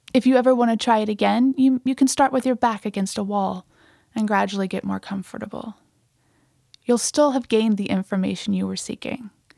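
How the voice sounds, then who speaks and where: A woman with an unremarkable speaking voice at medium pitch is heard on a very clean recording with a silent background and a dry, close sound with no echo. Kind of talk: guided meditation. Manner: slow, calm, soothing and unhurried, with gentle instructional pacing.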